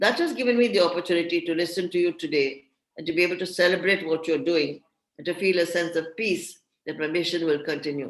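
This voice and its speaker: A woman at a very fast pace, fairly low in pitch, with ordinary pitch variation. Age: 80s. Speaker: feminist thinker and panel speaker. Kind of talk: prepared talk at an online panel.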